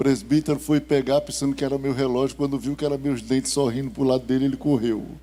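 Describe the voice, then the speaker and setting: With music playing behind him, a man talks in a fairly high voice. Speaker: pastor. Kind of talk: sermon. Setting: church. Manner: slow, calm.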